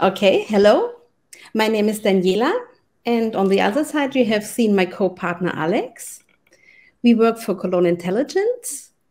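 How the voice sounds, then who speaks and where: A woman's fairly high voice in a German accent, with long, frequent pauses, on a very clean recording against a silent background. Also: ordinary pitch variation, moderate pace. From Germany. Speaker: UX designer. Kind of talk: conference talk.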